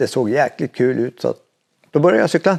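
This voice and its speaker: Recorded with a dry, close sound and no echo, a man speaks in a medium-pitched voice with a dark, mellow tone. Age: 60s. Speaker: veteran mountain biker. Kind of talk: interview. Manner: hesitant, many fillers.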